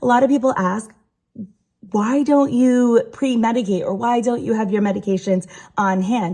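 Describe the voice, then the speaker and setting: Her voice is fairly high-pitched with a dark, mellow tone. The woman keeps a moderate pace with ordinary pitch variation. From Rhode Island. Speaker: patient sharing health story. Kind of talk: personal explainer video. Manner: hesitant, many fillers.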